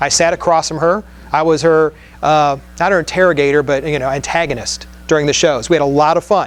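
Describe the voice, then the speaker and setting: At a fairly quick pace, a man speaks with a fairly high pitch. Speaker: conference speaker on podcasting. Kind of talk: conference talk. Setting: stage with audience. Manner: fast; animated.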